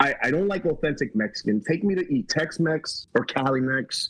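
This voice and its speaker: A man with a New York accent, fairly high pitch and fairly quick pace. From Puerto Rico (Aguadilla), lived in New York. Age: 40s. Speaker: comedian. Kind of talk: casual chat.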